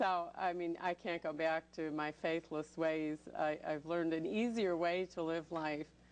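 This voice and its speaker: A woman speaks with an American accent, fairly low in pitch and at a fairly slow pace. Her intonation stays fairly even, with hardly any pauses. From Chicago, US Midwest. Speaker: author. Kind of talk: TV interview.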